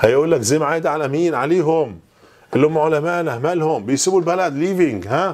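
Pitched fairly high, a man speaks at a fairly quick pace with ordinary pitch variation. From Egypt. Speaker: English teacher. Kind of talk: lecture. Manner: animated. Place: classroom. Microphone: lapel.

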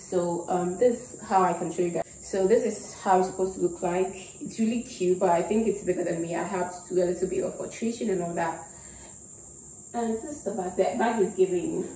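A woman talks at a fairly quick pace. Audible room echo and light background noise are present. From Ghana. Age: 20s. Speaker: YouTuber. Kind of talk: casual talk to camera. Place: home room.

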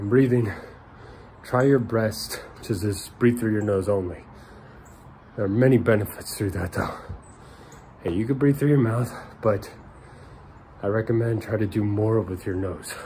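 A man at a fairly low pitch with ordinary pitch variation and a moderate pace, long, frequent pauses and light background noise. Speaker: fitness vlogger. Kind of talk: casual vlog chat. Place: garden. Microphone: phone near.

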